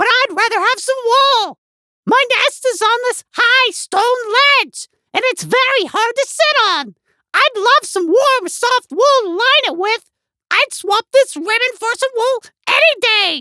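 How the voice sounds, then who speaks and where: A woman puts on a squeaky character voice with an extremely high pitch. She goes at a fairly slow pace. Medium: read story.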